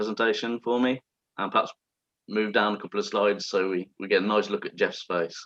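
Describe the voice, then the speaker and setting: A man with an English accent, fairly low-pitched, at a fairly quick pace, in a monotone, flat intonation, with a dry, close sound and no echo. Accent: very English. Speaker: wine presenter. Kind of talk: online wine masterclass presentation. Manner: hesitant, many fillers and repetitions.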